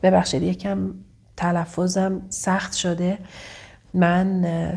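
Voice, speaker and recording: A woman's medium-pitched, somewhat breathy voice with a warm tone at a very slow pace. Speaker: relationship coach. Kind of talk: vlog advice monologue. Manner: occasionally stumbling; warm, affectionate.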